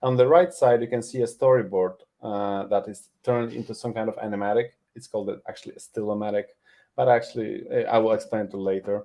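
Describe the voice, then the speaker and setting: A man speaks very fast with a Polish accent and big swings in loudness. His medium pitch has fairly even intonation. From Poland. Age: 40s. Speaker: animation tutor. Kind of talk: webinar presentation.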